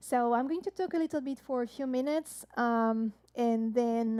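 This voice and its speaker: A woman speaks in a dark, mellow tone. Her pace is moderate. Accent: French. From France. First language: French. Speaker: jazz harpist and singer. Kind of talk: live-stream show introduction. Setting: online live-stream show. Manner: hesitant, many fillers.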